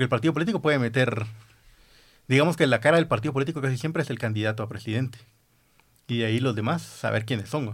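A man at a medium pitch talks at a very fast pace with ordinary pitch variation, yet leaves long, frequent pauses. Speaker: podcast host. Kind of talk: casual chat.

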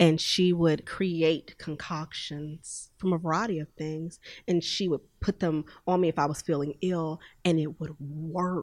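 In a very clean recording with a silent background, a woman speaks fairly slowly in a fairly low, monotone voice with flat intonation. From Houston, Texas. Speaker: natural beauty business owner. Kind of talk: interview. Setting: podcast studio.

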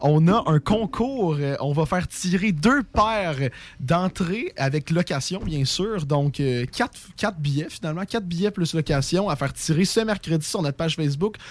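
Speaking fairly slowly, a man with a high pitch uses lively intonation. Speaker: radio host. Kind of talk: casual chat. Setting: studio.

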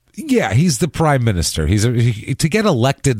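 A man with a plain, everyday voice talks at a fairly quick pace with lively intonation. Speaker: podcast co-host. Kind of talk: casual chat. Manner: ranting, excitable.

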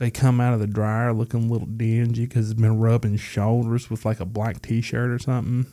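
A dark, mellow tone comes at a fairly quick pace with big swings in loudness. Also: man, medium pitch for a man. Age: 30s. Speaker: whiskey podcast host. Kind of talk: casual chat with whiskey tasting. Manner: animated.

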